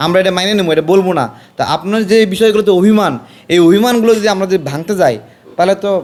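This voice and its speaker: A high-pitched man with ordinary pitch variation. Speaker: political commentator. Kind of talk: political speech. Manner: animated.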